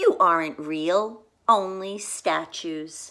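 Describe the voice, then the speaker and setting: In a put-on character voice, a female-sounding speaker uses a squeaky, middle-pitched tone at a very slow pace. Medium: read story.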